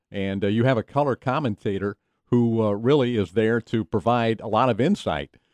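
Recorded with a dry, close sound, no echo and a quiet background, a man with an American accent uses an ordinary speaking voice at a medium pitch, with ordinary pitch variation, very even loudness and a moderate pace. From US South, Knoxville, Tennessee. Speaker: TV play-by-play broadcaster. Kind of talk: interview.

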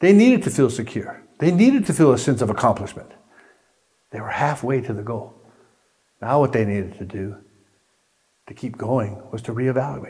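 A man with a dark, mellow, somewhat breathy tone speaks with lively intonation. He leaves long, frequent pauses, and audible room echo is present. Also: medium pitch for a man, moderate pace. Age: 60s. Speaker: pastor. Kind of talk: sermon.

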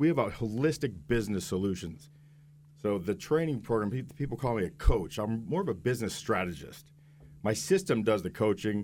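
On a very clean recording with a silent background, a man with a plain, everyday voice talks at a fairly quick pace, with a fairly low pitch and lively intonation. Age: 50s. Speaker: business coach. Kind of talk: radio interview. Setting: radio studio.

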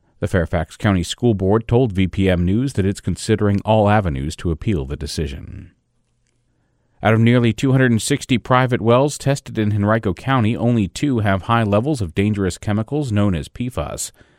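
With an unremarkable speaking voice, a man talks at a fairly quick pace and fairly low pitch, his intonation lively and the sound dry and close with no echo. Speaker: news host. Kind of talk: news reading.

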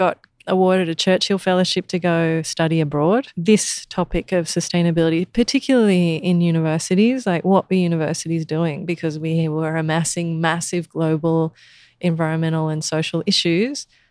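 A woman with an Australian accent speaks at a fairly low pitch and a moderate pace. Her pitch variation is ordinary, and the sound is dry and close with no echo. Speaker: sustainability educator. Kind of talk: interview.

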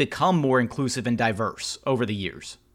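In an American accent, an ordinary speaking voice goes at a fairly quick pace with ordinary pitch variation on a very clean recording with a silent background. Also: man. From Houston, Texas. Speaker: podcast host. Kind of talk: interview.

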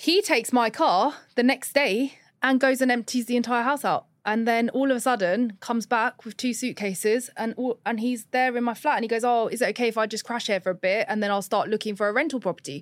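A woman with a British accent talks at a fairly quick pace and fairly high pitch, with hardly any pauses. Her pitch varies in an ordinary way on a very clean recording with a silent background. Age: 30s. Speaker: dating story guest. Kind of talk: personal storytelling in casual chat.

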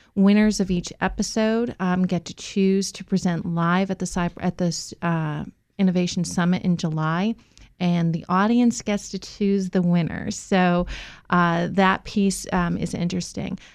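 A woman with an American accent and an ordinary speaking voice, medium pitch, fairly even intonation and a moderate pace, against a quiet background. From Massachusetts. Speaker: small business program director. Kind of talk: radio interview. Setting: radio studio.

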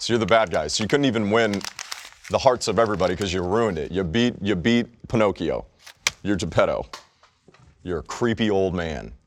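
Speaking at a fairly quick pace, a man uses a fairly low pitch with ordinary pitch variation and an animated tone. He leaves long, frequent pauses. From Texas. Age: 30s. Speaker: sports podcast co-host. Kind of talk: casual chat.

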